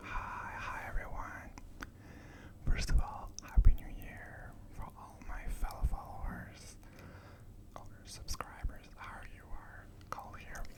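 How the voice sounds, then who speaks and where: A man whispering in a calm tone at a very slow pace, with long, frequent pauses, big swings in loudness and noticeable background noise. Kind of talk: ASMR ramble. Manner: whispered, soft-spoken, calm.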